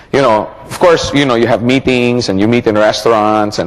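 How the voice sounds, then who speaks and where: Over noticeable background noise, a man at medium pitch talks at a very fast pace. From Philippines. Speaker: network marketing trainer. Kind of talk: training seminar. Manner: animated.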